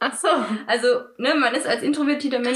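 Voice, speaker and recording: This woman's voice sits high in pitch. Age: 20s. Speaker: podcast co-host. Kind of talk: casual chat.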